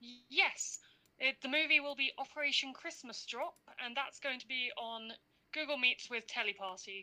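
A woman speaks at a moderate pace in a high, raised, projected voice, with big swings in loudness and ordinary pitch variation. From London. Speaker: university student. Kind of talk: casual chat.

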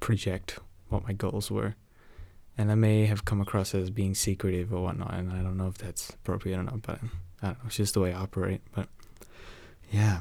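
A quiet man, fairly low-pitched, at a fairly quick pace with monotone, flat intonation. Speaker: solo podcaster, university student. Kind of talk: casual personal monologue. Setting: home recording at night with rain. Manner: talking quietly; rambling with many fillers and laughs.

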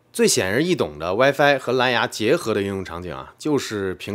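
On a very clean recording with a silent background, a man talks at a fairly quick clip. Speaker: tech video creator. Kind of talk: explainer video narration. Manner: casual with frequent fillers.

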